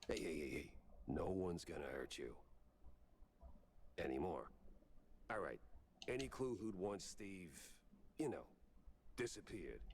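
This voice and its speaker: Doing a put-on character voice at a fairly low pitch, a man speaks with long, frequent pauses over clear background noise. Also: moderate pace. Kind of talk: hard-boiled voice-over. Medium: video game. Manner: dry, sardonic.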